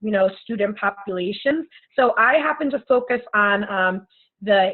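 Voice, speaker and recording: Her pitch medium, a woman talks with ordinary pitch variation. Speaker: elementary teacher presenting coursework. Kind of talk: class presentation. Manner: fast.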